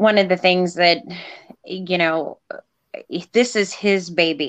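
A woman speaks in an ordinary speaking voice with a fairly low pitch. Her intonation stays fairly even. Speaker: nonprofit volunteer.

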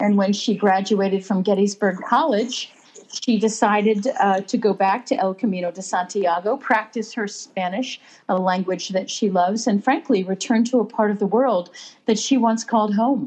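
Speaking with an American accent, a woman uses a plain, everyday voice with ordinary pitch variation at a moderate pace. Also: medium pitch for a woman. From US Pennsylvania. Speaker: writer and pilgrim. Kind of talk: casual interview chat. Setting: phone call.

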